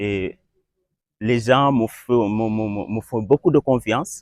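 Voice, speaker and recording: The recording is very clean with a silent background, dry and close with no echo. A man speaks at a medium pitch with ordinary pitch variation. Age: 20s. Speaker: young football referee. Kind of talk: interview. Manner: halting, many repetitions.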